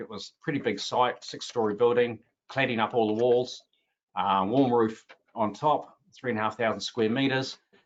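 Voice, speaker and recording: A man speaks in a New Zealand accent at a medium pitch. His pace is moderate and his intonation fairly even. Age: 60s. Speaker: roofing business owner and panelist. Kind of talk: webinar panel presentation. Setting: online webinar. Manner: hesitant, many filler sounds.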